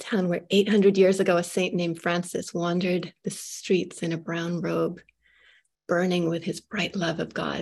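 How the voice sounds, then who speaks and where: This woman talks at a moderate pace in a fairly low pitch, her flat, monotone delivery carrying vocal fry. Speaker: moderator, writer and poet. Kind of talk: interview moderation. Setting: video call webinar.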